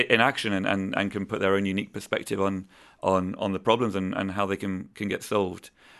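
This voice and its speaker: In an English accent, a man with a fairly low voice speaks at a fairly quick pace against a quiet background. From southern England. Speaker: engineering manager for construction technology. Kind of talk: casual interview. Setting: studio.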